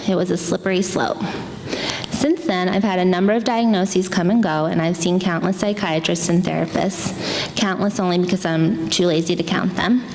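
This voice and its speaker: In an American accent, a woman talks at a moderate pace with a medium pitch and ordinary pitch variation, against noticeable background noise. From Pennsylvania. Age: 20s. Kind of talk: personal essay reading on stage.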